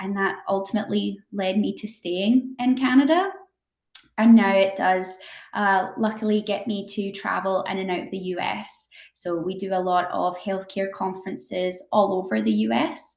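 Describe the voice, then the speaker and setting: A woman with a slight Scottish accent speaks at a moderate pace, her medium pitch moving with ordinary variation. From Scotland. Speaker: company representative. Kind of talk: interview.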